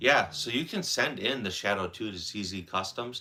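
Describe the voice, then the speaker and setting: A man's fairly low voice with a bright, sharp tone and an American accent. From central Wisconsin. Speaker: firearms livestreamer. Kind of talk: casual live stream chat.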